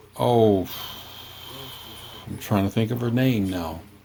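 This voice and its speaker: A man talks against noticeable background noise. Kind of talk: casual family conversation.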